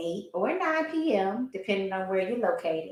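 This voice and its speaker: A woman's raised, projected voice, bright and sharp in tone, moves through very wide pitch swings. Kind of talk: podcast host talk.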